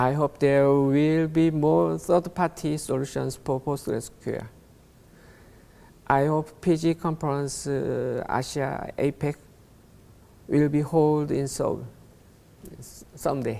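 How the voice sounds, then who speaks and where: With a Korean accent, a man speaks at a very slow pace with long, frequent pauses. His pitch is fairly high, his tone dark and mellow, and his intonation fairly even. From South Korea. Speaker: conference speaker. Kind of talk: conference talk. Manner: reading from script; halting.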